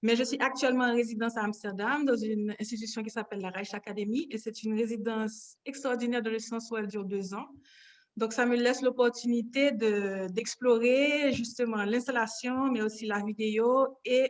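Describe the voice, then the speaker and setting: Here a woman has an ordinary speaking voice at a fairly high pitch. She keeps a moderate pace and fairly even intonation. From Haiti, Port-au-Prince. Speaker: painter. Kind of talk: interview.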